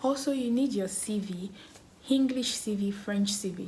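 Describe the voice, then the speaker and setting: The speaker has a Nigerian accent. There is noticeable background noise. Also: woman. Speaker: education vlogger. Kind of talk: tutorial. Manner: casual, conversational with fillers.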